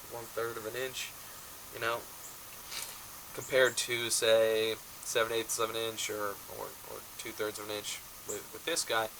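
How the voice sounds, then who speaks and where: Over noticeable background noise, a man at medium pitch talks in a monotone, flat way at a moderate pace, with long, frequent pauses and big swings in loudness. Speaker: rifle shooter. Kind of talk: casual talk to camera.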